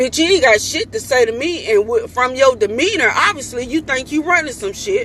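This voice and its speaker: A woman speaks loudly in a high pitch, with very wide pitch swings and an animated tone. She barely pauses, and there is noticeable background noise. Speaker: mother. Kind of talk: vlog rant.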